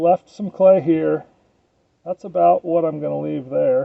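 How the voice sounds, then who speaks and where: A man speaking at a very slow pace. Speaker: potter. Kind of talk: tutorial. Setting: outdoors. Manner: monotone; casual.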